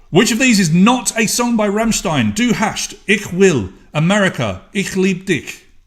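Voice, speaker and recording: A high-pitched man with an English accent, lively intonation and a fairly slow pace. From England. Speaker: online quiz host. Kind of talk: live quiz hosting. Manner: animated.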